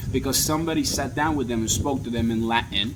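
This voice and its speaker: Against noticeable background noise and audible room echo, a man talks at a fairly quick pace with ordinary pitch variation. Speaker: capital raising consultant. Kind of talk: promotional talk. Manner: fast; animated.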